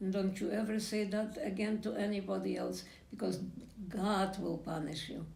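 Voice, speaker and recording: Speaking with a Polish accent, a woman keeps a moderate pace. Audible room echo and noticeable background noise surround her. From Poland. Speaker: Holocaust survivor. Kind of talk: testimony. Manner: halting.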